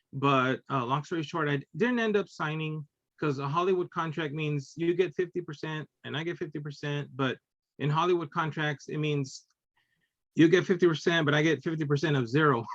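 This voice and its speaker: Speaking with a Spanish accent at a fairly quick pace, a man has a fairly high pitch and ordinary pitch variation, recorded dry and close with no echo. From Texas and Illinois. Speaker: cartoonist and teacher. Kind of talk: casual interview chat. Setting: video podcast.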